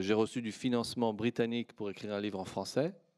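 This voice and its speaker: On a very clean recording with a silent background, a man speaks at a medium pitch with a Persian accent. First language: Persian (speaking French). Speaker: historian, academic panelist. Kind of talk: panel discussion. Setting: conference with audience. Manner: hesitant, many fillers.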